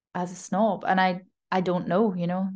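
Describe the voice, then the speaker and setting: The speaker has a Glasgow accent. Vocal fry runs through the voice. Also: woman. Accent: mild Glasgow Scottish. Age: 20s. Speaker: freelance copywriter. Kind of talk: casual chat. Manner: clear, easy to understand.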